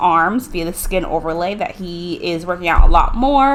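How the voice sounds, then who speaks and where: Noticeable background noise sits behind a woman speaking at a medium pitch. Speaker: gaming youtuber. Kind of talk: gameplay commentary. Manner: fast.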